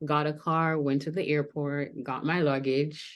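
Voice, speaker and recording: A speaker with a slight Jamaican accent talks in a fairly even intonation. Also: woman. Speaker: pageant contestant and school counselor. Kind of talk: panel interview.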